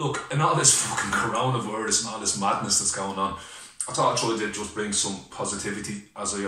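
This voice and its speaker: A man's fairly low voice at a very fast pace, ordinary in pitch variation, with audible room echo. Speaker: personal vlogger. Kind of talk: casual vlog chat. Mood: heartfelt, grateful, emotional. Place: home room. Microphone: webcam.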